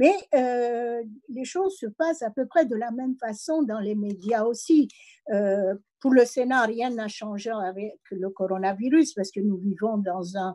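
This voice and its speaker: A woman's dark, mellow voice sits at a fairly high pitch and moves with lively intonation. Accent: slight non-native. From immigrant background. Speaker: senator and university professor. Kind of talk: speech at online meeting. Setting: online meeting. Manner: hesitant, many fillers.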